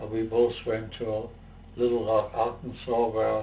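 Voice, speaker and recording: In a German accent, a man speaks at a fairly slow pace and medium pitch with monotone, flat intonation, and the room echo is audible. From Germany. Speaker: civil rights activist and professor. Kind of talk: interview testimony. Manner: halting, many fillers.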